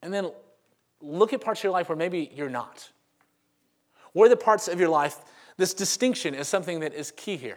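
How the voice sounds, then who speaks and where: A man with a Southern US accent talks at a fairly quick pace in a high pitch, with lively intonation and big swings in loudness. His speech is broken by long, frequent pauses. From Louisiana, Monroe. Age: 30s. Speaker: pastor. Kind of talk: sermon. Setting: church.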